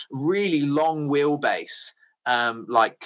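On a very clean recording with a silent background, a man with an English accent and a fairly high pitch speaks at a very slow pace in a bright, sharp tone with ordinary pitch variation. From England. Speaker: bike traveller. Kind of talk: casual chat. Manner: halting.

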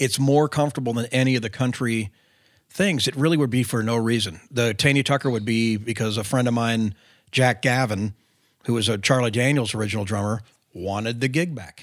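On a very clean recording with a silent background, a man with an American accent and an unremarkable speaking voice talks at a fairly quick pace, with medium pitch and ordinary pitch variation. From California. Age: 50s. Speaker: rock drummer. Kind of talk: casual interview. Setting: hotel room.

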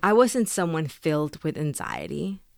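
The speaker has a Spanish accent. The recording is very clean, with a silent background. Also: woman, dry, close sound with no echo. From Mexico, then Texas from age 11. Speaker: author and immigrant rights advocate. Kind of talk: reading aloud; interview.

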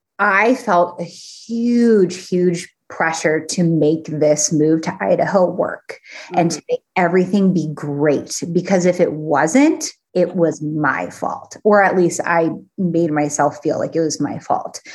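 With an American accent, a woman speaks in a fairly low pitch at a very slow pace. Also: ordinary pitch variation. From Phoenix, Arizona. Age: 30s. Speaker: fitness and nutrition coach. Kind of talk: casual chat.

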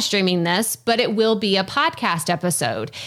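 A woman speaks with a Texas accent and a lively intonation. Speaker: podcasting coach. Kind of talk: interview, casual conversation.

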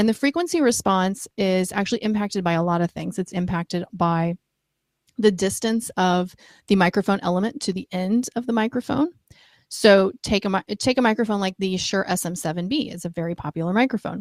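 With a normal speaking voice, this woman talks at a fairly quick pace and medium pitch, with ordinary pitch variation and a dry, close sound with no echo. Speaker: audio equipment marketing director. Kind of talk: technical explanation in interview. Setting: video call.

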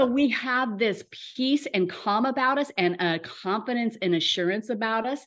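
Here is an unremarkable speaking voice with ordinary pitch variation at a moderate pace. The background is quiet. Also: woman, fairly high pitch for a woman. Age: 60s. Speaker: wellness coach. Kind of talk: casual interview.

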